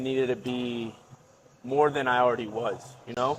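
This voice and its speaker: A man's medium-pitched voice at a moderate pace. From Florida. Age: 20s. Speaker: university student. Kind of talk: casual podcast conversation. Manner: hesitant, filler-heavy.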